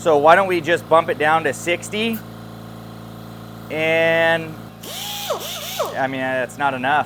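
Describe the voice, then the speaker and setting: A man talks at a very slow pace with long, frequent pauses, and noticeable background noise sits behind him. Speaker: DIY tool reviewer. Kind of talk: casual product review. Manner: loud; casual, hesitant fillers.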